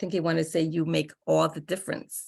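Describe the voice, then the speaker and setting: In a monotone, flat manner, a woman speaks with a fairly low pitch, a dark, mellow tone and vocal fry. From Bahamas. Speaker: toastmasters club member, grammarian. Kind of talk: meeting report.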